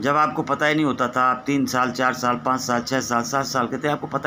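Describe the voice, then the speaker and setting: A man talks at a medium pitch. He has an ordinary speaking voice. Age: 60s. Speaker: spiritual teacher. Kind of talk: spiritual discourse.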